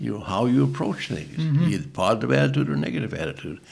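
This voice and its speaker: The voice moves at a very fast pace with vocal fry and very wide pitch swings. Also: man. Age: 80s+. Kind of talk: interview answer.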